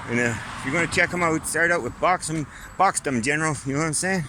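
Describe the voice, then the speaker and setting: Against noticeable background noise, a man speaks at a fairly quick pace, his fairly high pitch showing ordinary variation. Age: 60s. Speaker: vlogger. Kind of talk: casual monologue vlog. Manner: rambling, conversational.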